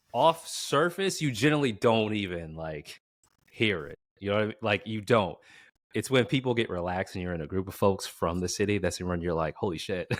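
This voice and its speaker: Speech comes at a fairly quick pace with lively intonation and an American accent. The recording is very clean, with a silent background. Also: man, fairly low pitch for a man. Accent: proper, enunciated speech. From Boston. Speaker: podcast host. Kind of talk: casual interview chat.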